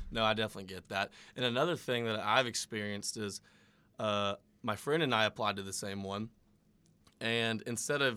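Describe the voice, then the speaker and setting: Recorded very cleanly against a silent background, a man at a medium pitch talks at a fairly quick pace with fairly even intonation and a bright, sharp tone. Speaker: podcast co-host, college student. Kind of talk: casual chat.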